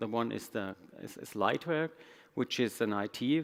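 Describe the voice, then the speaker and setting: A man speaks with a German accent. His pace is moderate. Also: very clean recording, silent background. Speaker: IT executive. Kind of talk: conference talk. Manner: halting.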